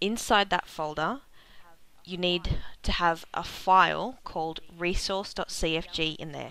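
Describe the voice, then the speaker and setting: In an Australian accent, a woman with a fairly low pitch and a bright, sharp tone is heard on a very clean recording with a silent background. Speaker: gaming video creator. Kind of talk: game tutorial narration.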